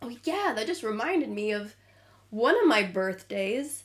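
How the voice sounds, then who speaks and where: A woman speaks with a Midwestern accent. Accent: American Midwestern. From US Midwest, Illinois. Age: 20s. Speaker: podcast co-host. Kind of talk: casual chat.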